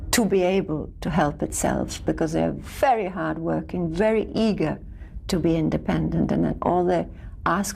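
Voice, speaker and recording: A woman talks at a moderate pace. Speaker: actress. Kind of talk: interview answer.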